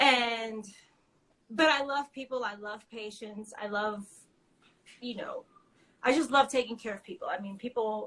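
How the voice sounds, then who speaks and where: A woman with an American accent, fairly high pitch, and a bright, sharp tone, at a fairly slow pace with long, frequent pauses, big swings in loudness, and ordinary pitch variation. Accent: New York accent, may show. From New York. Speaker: small business owner. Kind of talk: interview. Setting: live video stream.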